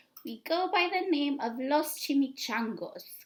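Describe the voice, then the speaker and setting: A woman puts on a growling character voice, high in pitch, with lively intonation. She speaks at a fairly slow pace. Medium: read story. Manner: growling, grand.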